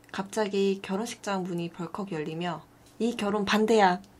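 Ordinary pitch variation and a moderate pace from a woman at a medium pitch, a plain, everyday voice. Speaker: video artist. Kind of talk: casual chat.

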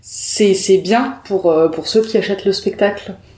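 A woman speaks at a very slow pace and a medium pitch. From southern France, Perpignan. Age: 20s. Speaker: improv actress. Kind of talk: casual interview.

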